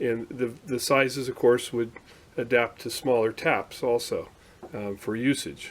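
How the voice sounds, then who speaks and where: Medium-pitched male voice at a fairly slow pace with fairly even intonation. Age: 60s. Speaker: hobbyist machinist. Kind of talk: tutorial. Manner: halting, many fillers; casual.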